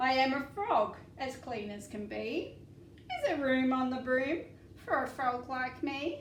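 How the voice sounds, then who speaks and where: Using a put-on character voice, a woman speaks high and croaky at a fairly slow pace, with a slight echo around her. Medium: read story.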